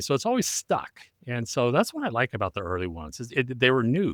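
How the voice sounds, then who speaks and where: In a very clean recording with a silent background, a man speaks at a very fast pace with very wide pitch swings. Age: 60s. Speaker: retired teacher and voice actor. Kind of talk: casual chat.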